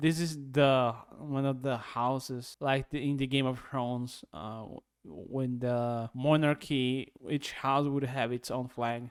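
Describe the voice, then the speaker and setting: In a very clean recording with a silent background, a man with a Brazilian Portuguese accent speaks very slowly at a medium pitch with fairly even intonation. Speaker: YouTube reactor. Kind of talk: reaction commentary. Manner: halting.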